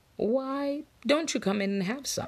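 Using a put-on character voice, a woman speaks at a high pitch with lively intonation. Her pace is fairly slow.

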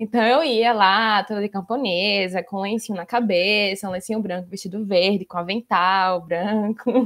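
A plain, everyday voice at a moderate pace, fairly even intonation, hardly any pauses. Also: woman, medium pitch for a woman. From Brazil, Maceió, Alagoas. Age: 20s. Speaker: researcher and lawyer. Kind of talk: casual interview.

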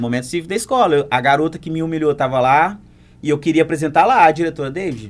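Very fast speech comes from a man whose pitch sits fairly high. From Brazil, Muriaé (Minas Gerais). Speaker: dancer and choreographer. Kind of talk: casual chat.

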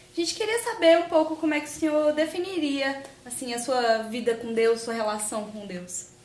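A high-pitched woman's voice at a moderate pace, with lively intonation and noticeable background noise. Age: young. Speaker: youth podcast host. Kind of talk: interview questions.

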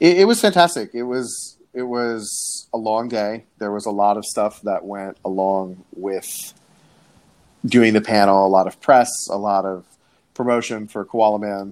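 A man speaks at a fairly slow pace in an ordinary speaking voice, fairly low in pitch with ordinary pitch variation. The recording is very clean, with a silent background. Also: big swings in loudness. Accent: American. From South Florida (Coral Springs). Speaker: TV and film writer. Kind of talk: casual interview.

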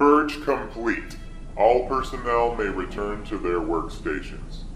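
A man performs a put-on character voice at a fairly slow pace. There is a slight echo, with clear music in the background. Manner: flat, mechanical.

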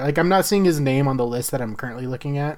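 With an ordinary speaking voice, a man talks at a fairly high pitch and ordinary pitch variation. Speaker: podcast co-host. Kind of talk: casual chat.

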